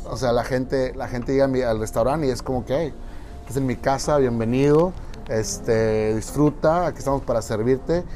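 With music in the background, a man at a medium pitch speaks at a moderate pace with ordinary pitch variation. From Mexico, Monterrey. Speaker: restaurant owner. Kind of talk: interview. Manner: halting, with frequent repetitions and fillers.

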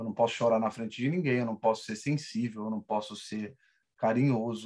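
A man has an ordinary speaking voice, pitched medium, and keeps a moderate pace with fairly even intonation. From Rio de Janeiro. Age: 30s. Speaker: salesperson. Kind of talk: casual chat.

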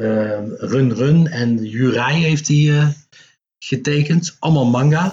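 A somewhat breathy man's voice at a very slow pace. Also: fairly high pitch for a man, ordinary pitch variation. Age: 50s. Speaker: comic book writer and publisher. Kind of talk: casual interview.

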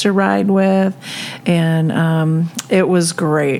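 Fairly low female voice with ordinary pitch variation, over noticeable background noise. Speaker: podcast host. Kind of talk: casual chat.

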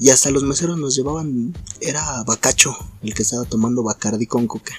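The speech comes at a fairly quick pace with ordinary pitch variation. Noticeable background noise can be heard. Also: man. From Naucalpan, Mexico City area. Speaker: podcast co-host. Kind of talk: casual chat.

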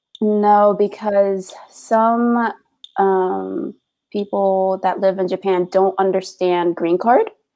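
With music in the background, a woman with an American accent speaks at a very slow pace and medium pitch, her intonation fairly even. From United States, DC area. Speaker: podcaster. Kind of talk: interview.

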